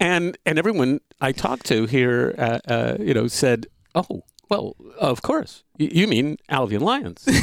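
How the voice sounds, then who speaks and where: A man at medium pitch with vocal fry and very wide pitch swings, at a fairly slow pace, in a dry, close sound with no echo. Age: 70s. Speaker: podcast co-host. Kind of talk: casual chat. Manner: chatty, laughs often, hesitant with fillers.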